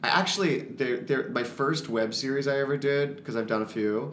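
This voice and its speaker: A man with an American accent at a fairly quick pace, with noticeable background noise and audible room echo. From Florida. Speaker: musical theater actor. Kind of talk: casual interview.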